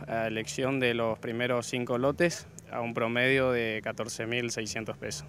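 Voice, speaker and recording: A man talks at a fairly slow pace with ordinary pitch variation and a medium pitch, in an ordinary speaking voice. The sound is dry with no echo, and there is light background noise. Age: 30s. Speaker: cattle breeder and buyer. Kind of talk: interview. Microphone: handheld.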